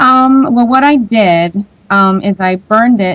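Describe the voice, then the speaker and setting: A normal speaking voice goes at a fairly slow pace with ordinary pitch variation. The sound is dry and close, with no echo. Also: woman. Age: 20s. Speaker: independent singer-songwriter. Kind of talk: radio interview. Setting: radio show.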